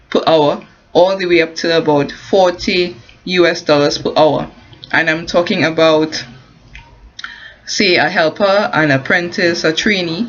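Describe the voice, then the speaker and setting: Amid noticeable background noise, a woman with a Caribbean accent speaks fairly slowly in a fairly low pitch, with ordinary pitch variation and long, frequent pauses. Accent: non-US, Caribbean. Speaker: construction worker and online business promoter. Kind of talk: informal advice vlog. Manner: halting, many fillers and restarts.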